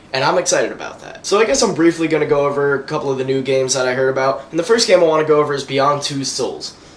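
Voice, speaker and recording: Speaking at a very fast pace with hardly any pauses, a man with a fairly high pitch and ordinary pitch variation is heard over noticeable background noise. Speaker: gaming video host. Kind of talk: casual gaming commentary. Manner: animated.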